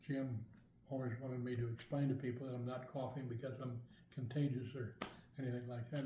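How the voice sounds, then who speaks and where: The voice comes at a fairly quick pace, somewhat breathy with a dark, mellow tone and monotone, flat intonation, with audible room echo. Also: man. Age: 80s+. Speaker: product user giving testimonial. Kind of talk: testimony. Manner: halting.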